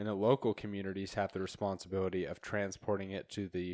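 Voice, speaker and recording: A normal speaking voice from a man, fairly low-pitched and fairly quick, with a dry, close sound, no echo and a quiet background. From eastern Idaho. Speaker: podcast host. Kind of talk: casual chat.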